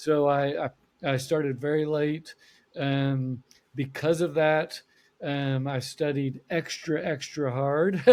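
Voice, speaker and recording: Monotone and flat, a man's fairly high voice moves at a very slow pace. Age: 60s. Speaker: accountant. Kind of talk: podcast interview.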